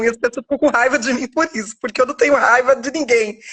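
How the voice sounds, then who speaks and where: High pitch from a woman, varied in an ordinary way. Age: 40s. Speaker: author sharing life story. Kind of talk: testimony. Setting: live video stream. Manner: halting.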